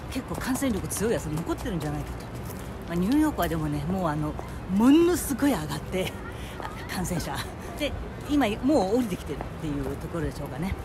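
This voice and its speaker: Over noticeable background noise, a woman speaks at a very fast pace yet breaks it up with long, frequent pauses. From Kobe, Japan. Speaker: former TV announcer. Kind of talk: casual vlog talk to camera. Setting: outdoors.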